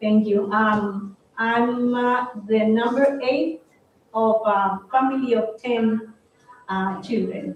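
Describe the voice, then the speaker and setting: A woman speaks very slowly with a Colombian accent. Her pitch is fairly high and her intonation fairly even. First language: Spanish. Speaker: head of international peace organization. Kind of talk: live interview. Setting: room with live audience.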